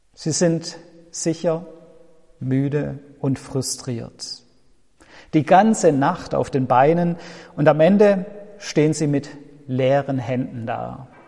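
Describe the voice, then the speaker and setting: With long, frequent pauses, a man speaks at a very slow pace in a somewhat breathy, dark, mellow voice of fairly high pitch and ordinary pitch variation. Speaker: pastor. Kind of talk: sermon, a warm pastoral address to the congregation, with an earnest, reflective tone. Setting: church. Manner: measured and earnest, with a sincere, comforting delivery.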